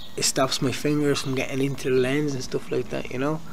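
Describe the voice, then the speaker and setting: Moderately paced speech in a monotone, flat intonation, over noticeable background noise. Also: man. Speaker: vlogger. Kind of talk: casual vlog chat. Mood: earnest, motivational. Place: garden. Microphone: phone near.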